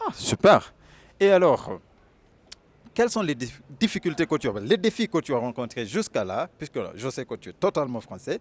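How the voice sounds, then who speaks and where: A man with a Kenyan accent, fairly high-pitched, with vocal fry, very wide pitch swings, a moderate pace, long and frequent pauses, and a dry, close sound with no echo. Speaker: video host, interviewer. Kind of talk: channel outro appeal; interview.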